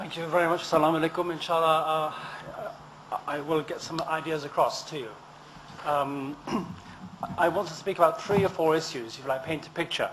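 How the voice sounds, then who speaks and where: Noticeable background noise sits behind a man with a fairly high pitch and fairly even intonation. He talks at a fairly quick pace but with long, frequent pauses. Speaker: election candidate. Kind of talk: campaign speech. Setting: public hustings event. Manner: fast.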